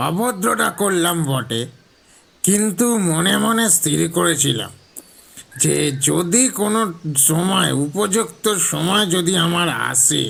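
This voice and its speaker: A man performs a put-on character voice. It sits at a high pitch. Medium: audio drama. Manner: polite, wry, chatty.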